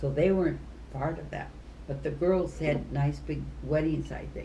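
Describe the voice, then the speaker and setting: With an Upper Midwest accent, the speaker moves at a moderate pace through big swings in loudness, with audible room echo around the voice. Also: woman. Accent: Upper Midwest American. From US Midwest. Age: 80s+. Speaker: retired teacher. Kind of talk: casual chat.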